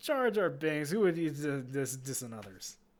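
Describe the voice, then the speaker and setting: This gruff, put-on character voice moves at a moderate pace. The recording is very clean, with a silent background. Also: man, fairly high pitch for a man. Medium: read story. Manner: gruff broken pidgin.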